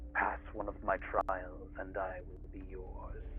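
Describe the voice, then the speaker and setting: A man talks fairly slowly in a raspy, put-on character voice over clear background noise. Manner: challenging.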